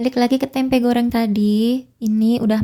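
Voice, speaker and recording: At a fairly quick pace, a woman talks in a monotone, flat intonation with fairly high pitch. Her voice is somewhat breathy with a dark, mellow tone. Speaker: housewife vlogger. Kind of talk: casual cooking vlog narration. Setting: home kitchen.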